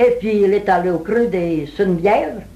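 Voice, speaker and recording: A woman speaks at a medium pitch with lively intonation. Hers is an unremarkable speaking voice. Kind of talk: folk tale telling.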